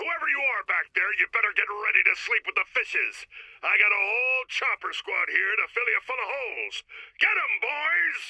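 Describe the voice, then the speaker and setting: In a put-on character voice with an extremely high pitch, a man speaks at a moderate pace. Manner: brash, threatening, gruff.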